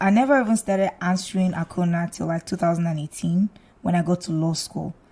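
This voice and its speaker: A woman with a fairly low, dark, mellow and somewhat breathy voice talks at a fairly quick pace with ordinary pitch variation. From Nigeria (Lagos, later Abia State). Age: 20s. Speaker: lawyer and singer. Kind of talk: casual interview chat.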